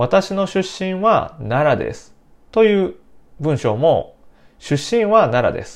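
A man speaks against a quiet background. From Japan, Nara Prefecture. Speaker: Japanese language teacher. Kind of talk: language lesson podcast.

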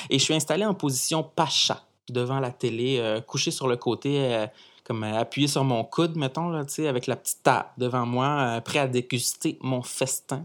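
In a very clean recording with a silent background, a man speaks in an animated tone at a fairly slow pace, with a medium pitch and ordinary pitch variation. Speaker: podcast columnist. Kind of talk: comic monologue. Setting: studio.

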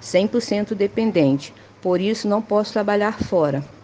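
Noticeable background noise is present. A woman talks at a fairly slow pace. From Manguinhos, Rio de Janeiro, Brazil. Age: 40s. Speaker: family caregiver. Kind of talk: testimony.

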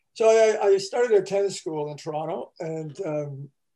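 In a Canadian accent, a man speaks with a dark, mellow tone and ordinary pitch variation. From northern Quebec, Canada. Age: 70s. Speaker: sports psychologist. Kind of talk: interview conversation.

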